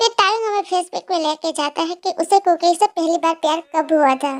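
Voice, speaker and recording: The speech moves at a fairly quick pace. Pitch variation is ordinary. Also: woman, extremely high pitch for a woman. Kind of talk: casual fan-fiction narration. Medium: read story. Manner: chatty, informal, mixing Hindi and English.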